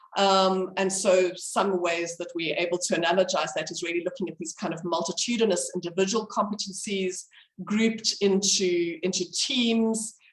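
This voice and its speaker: The woman's intonation stays fairly even while noticeable background noise sits behind her. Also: medium pitch for a woman, moderate pace. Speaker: medical educator. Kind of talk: lecture. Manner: halting.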